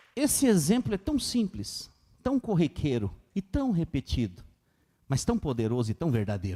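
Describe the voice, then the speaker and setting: A man with a somewhat breathy voice speaks at very even loudness, the sound dry and close with no echo. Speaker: pastor. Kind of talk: sermon. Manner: fast.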